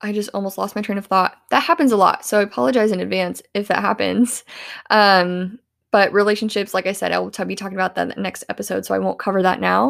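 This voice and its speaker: A woman with an American accent at a very fast pace, in a very clean recording with a silent background. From US Midwest, rural southeast Iowa. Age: 20s. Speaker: podcast host. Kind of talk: motivational monologue.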